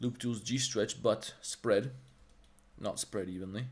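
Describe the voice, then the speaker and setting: A man with an American accent speaks in a somewhat breathy voice with ordinary pitch variation. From Balkans, grew up abroad in international schools. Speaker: 3D artist and Blender instructor. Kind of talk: livestream tutorial; casual chat. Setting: livestream. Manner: casual, profane, animated.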